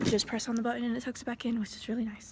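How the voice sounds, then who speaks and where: On a very clean recording with a silent background, a woman speaks in a high pitch. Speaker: custodian and vlogger. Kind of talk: casual vlog narration.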